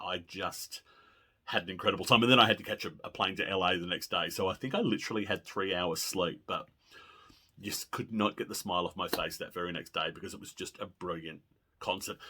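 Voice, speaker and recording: A man with an Australian accent and a very deep, low pitch talks at a fairly quick pace. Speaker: pop music video blogger. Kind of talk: casual monologue. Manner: animated.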